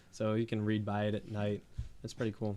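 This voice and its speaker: A man at medium pitch with an eastern Pennsylvania accent, at a very fast pace. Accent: eastern Pennsylvania American. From eastern Pennsylvania, Bethlehem. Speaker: small business owner, woodworking artist. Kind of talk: podcast interview. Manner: hesitant, many fillers.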